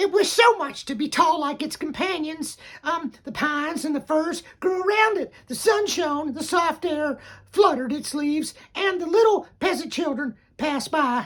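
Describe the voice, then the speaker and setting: This is a put-on character voice, high in pitch. It sounds enthusiastic and moves at a moderate pace. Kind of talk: bedtime story. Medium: read story. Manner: rambling, easily sidetracked, enthusiastic.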